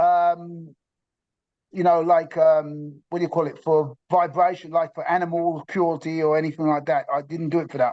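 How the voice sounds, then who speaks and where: Monotone, flat intonation in a dark, mellow tone, at a moderate pace against a quiet background. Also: man, high pitch for a man. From England, London. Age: 60s. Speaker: interviewee sharing diet story. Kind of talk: testimony. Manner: halting, many fillers.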